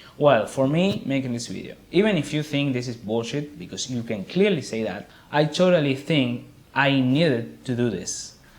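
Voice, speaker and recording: The man talks at a moderate pace with a medium pitch. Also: lively intonation. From Argentina. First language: Spanish. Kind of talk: casual talk to camera.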